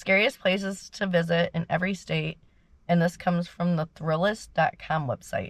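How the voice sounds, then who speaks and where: A woman's medium pitch, somewhat breathy, with ordinary pitch variation at a moderate pace on a very clean recording with a silent background. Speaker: YouTuber storyteller. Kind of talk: casual vlog chat. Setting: in a car. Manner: rambling, halting with fillers.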